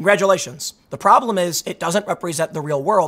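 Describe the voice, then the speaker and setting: A man talks at a very fast pace in a high pitch, with ordinary pitch variation. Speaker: political commentator. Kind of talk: video commentary. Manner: halting.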